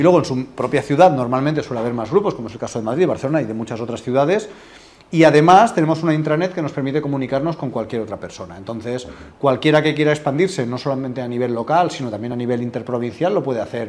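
A man's medium-pitched voice at a very fast pace, with lively intonation and big swings in loudness. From Spain, Alicante. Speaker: business networking representative. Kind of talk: interview.

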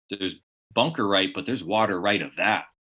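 Speaking at a fairly quick pace in a Californian accent, a man has a bright, sharp tone and ordinary pitch variation, with a very clean recording and silent background. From US West Coast, San Diego area. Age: 30s. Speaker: blind golf champion. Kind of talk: interview.

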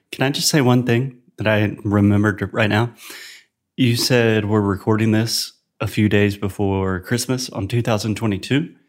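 A normal speaking voice from a man with an American accent, fairly low in pitch and fairly even in intonation, at a fairly slow pace on a very clean recording with a silent background. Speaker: podcast host teaching English. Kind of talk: casual chat. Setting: home living room.

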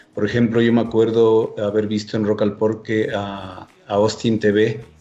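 A man's fairly low voice in a monotone, flat intonation, with music in the background. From Ecuador. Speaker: drummer and festival organizer. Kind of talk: casual chat.

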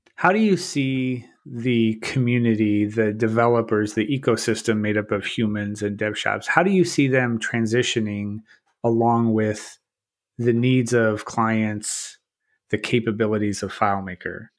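Against a quiet background, a man with a normal speaking voice talks at medium pitch with fairly even intonation. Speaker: podcast host. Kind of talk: casual interview chat.

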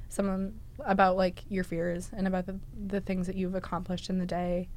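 A woman with an American accent talks at a fairly quick pace in a medium pitch, her tone dark and mellow. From Massachusetts. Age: 20s. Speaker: student storyteller. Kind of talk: interview storytelling.

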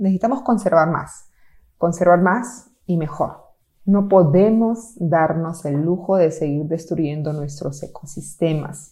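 At a very slow pace, a woman with a fairly low pitch and a dark, mellow tone speaks with ordinary pitch variation. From Peru, Amazon region, then city. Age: 50s. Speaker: conservation project leader. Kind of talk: interview.

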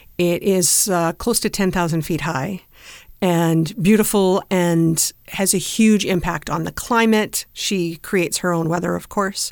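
On a very clean recording with a silent background, a woman speaks at a fairly low pitch. She has a normal speaking voice, a fairly slow pace and fairly even intonation. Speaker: wine podcast host. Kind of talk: casual chat.

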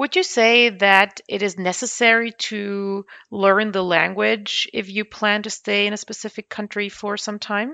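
A woman speaks in a German accent with a bright, sharp tone and fairly even intonation. Her pace is fairly slow with hardly any pauses, over a quiet background. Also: medium pitch for a woman. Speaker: podcast host, lawyer. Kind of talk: interview.

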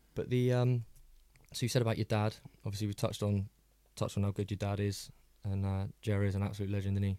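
On a very clean recording with a silent background, a man speaks at a very fast pace yet with long, frequent pauses, his dark, mellow tone held in a monotone, flat intonation. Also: fairly low pitch for a man, very even loudness. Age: 30s. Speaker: podcast host. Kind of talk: casual chat. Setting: studio.

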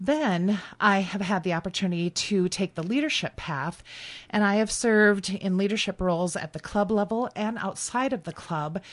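Over a quiet background, a woman speaks at a fairly slow pace with ordinary pitch variation in a plain, everyday voice. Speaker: public speaking club member and leader. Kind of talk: radio interview. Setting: radio studio.

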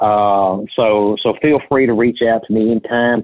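A man with a Middle Tennessee accent, medium pitch and fairly even intonation. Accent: US Southern (Middle Tennessee). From Tennessee, Sumner County (Portland area). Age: 50s. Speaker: banker and county commissioner. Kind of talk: casual interview.

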